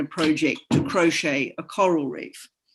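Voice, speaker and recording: With an Australian accent, a woman speaks at a fairly slow pace and a fairly low pitch. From Australia, Queensland. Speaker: science writer and artist. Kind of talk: panel discussion.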